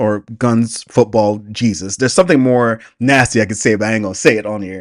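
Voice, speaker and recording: The pace is moderate. The recording is very clean, and the background is silent. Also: man. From US South, Atlanta, Georgia. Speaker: YouTube reactor. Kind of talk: casual reaction commentary. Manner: halting, many repetitions and fillers.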